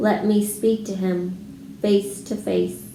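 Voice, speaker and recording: A woman uses a put-on character voice at a very slow pace. Clear background noise and a slight echo come through. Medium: read story.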